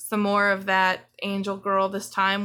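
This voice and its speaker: A bright, sharp tone in monotone, flat intonation at a very slow pace, in a very clean recording with a silent background. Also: woman. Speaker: artist YouTuber. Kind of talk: casual chat.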